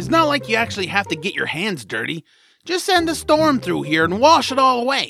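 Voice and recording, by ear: A put-on character voice from a man, high-pitched with big pitch swings, bright and sharp in tone, with vocal fry and a fairly quick pace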